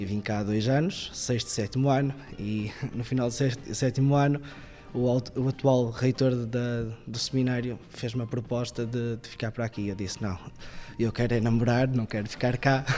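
The pace is moderate and the intonation fairly even. It is an unremarkable speaking voice. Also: man, medium pitch for a man. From northern Portugal, Viana do Castelo. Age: 20s. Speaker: seminarian. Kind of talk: interview testimony.

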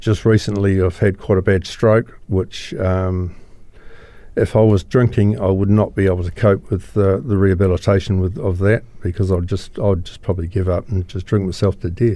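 With a New Zealand accent, the speaker talks at a moderate pace in a dark, mellow tone with fairly even intonation against a quiet background. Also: man, very deep, low pitch for a man. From New Zealand, Christchurch. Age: 60s. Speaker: recovering alcoholic. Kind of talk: personal testimony interview. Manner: halting, many fillers.

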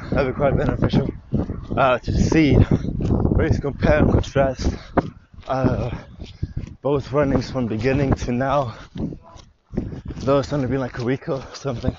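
A man at a fairly slow pace, monotone and flat, with long, frequent pauses and noticeable background noise. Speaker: vlogger. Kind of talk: casual monologue. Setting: outdoors.

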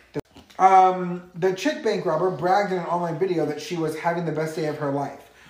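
Speech comes fairly quickly, with clear background noise running throughout. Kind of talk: casual chat.

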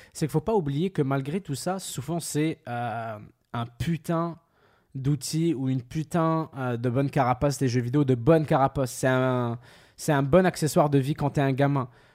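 A man's fairly high voice with a slight Quebec accent, fairly slow and with ordinary pitch variation, on a very clean recording with a silent background. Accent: mild Quebec French. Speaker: podcast host. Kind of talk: casual chat. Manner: animated.

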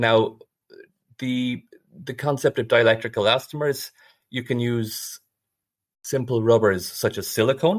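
A speaker with an Irish accent talks at a fairly slow pace, leaving long, frequent pauses and keeping the intonation fairly even. The recording is very clean and the background silent. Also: man, medium pitch for a man. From Ireland. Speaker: biomedical engineering researcher. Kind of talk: interview.

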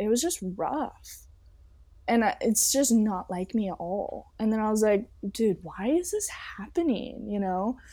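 On a very clean recording with a silent background, a woman with an American accent speaks at a fairly slow pace in a fairly high, somewhat breathy voice with a dark, mellow tone and lively intonation. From Southern California. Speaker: model and singer. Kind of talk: casual interview chat.

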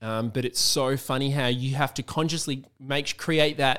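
A man's fairly high voice with an Australian accent, on a very clean recording with a silent background. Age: 30s. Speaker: musician. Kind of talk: casual chat.

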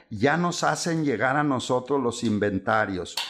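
On a very clean recording with a silent background, a man talks fairly slowly in an unremarkable speaking voice, medium in pitch with ordinary pitch variation. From Chihuahua, northern Mexico. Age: 60s. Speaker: lawyer specializing in bank foreclosures. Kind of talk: casual interview.

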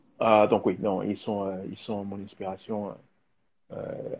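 A man speaks very slowly. His pitch sits fairly low. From DR Congo. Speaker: filmmaker and designer. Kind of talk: live video interview. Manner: halting, many fillers and repetitions.

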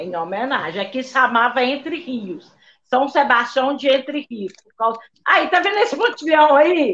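Her pitch high for a woman, she speaks at a fairly slow pace with very wide pitch swings. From Brazil, interior of Minas Gerais. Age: old. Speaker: retired state employee, live show participant. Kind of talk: casual chat.

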